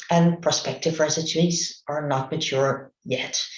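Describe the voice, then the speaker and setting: A fairly slow delivery in a Dutch accent. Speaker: medical researcher. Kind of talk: conference presentation. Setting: remote online talk. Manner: halting.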